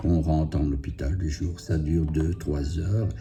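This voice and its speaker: Over music in the background, a man with a very deep, low pitch speaks at a fairly slow pace amid audible room echo. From Belgium, Liège province. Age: 60s. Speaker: cancer patient vlogger. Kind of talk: personal testimony. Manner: halting, many hesitations.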